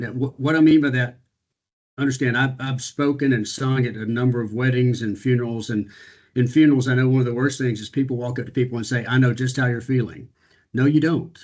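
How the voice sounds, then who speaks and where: At a fairly quick pace, a man speaks in a medium pitch. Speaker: business executive and speaker. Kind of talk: panel talk on video call. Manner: fast; energetic.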